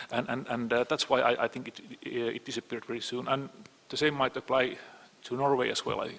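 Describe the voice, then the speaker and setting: Amid noticeable background noise, a man with a Finnish accent speaks at a very fast pace and medium pitch, his intonation flat and monotone but his loudness swinging widely. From Finland. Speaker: panelist, cyber security expert. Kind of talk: panel discussion. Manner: halting, many repetitions.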